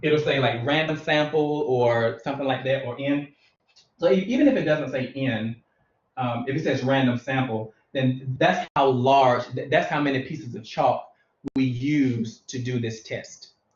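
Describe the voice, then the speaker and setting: Fairly even intonation from a man at a medium pitch. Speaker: math teacher. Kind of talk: lecture. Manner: slow and methodical.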